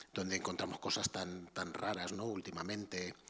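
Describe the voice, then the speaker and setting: A man talks quietly. His pace is fairly slow. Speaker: art history professor. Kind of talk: lecture. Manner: halting.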